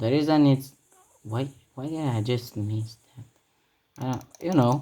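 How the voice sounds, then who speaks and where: Someone with a Romanian accent speaks at a fairly slow pace. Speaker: gaming youtuber. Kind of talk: gameplay commentary. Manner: halting; animated.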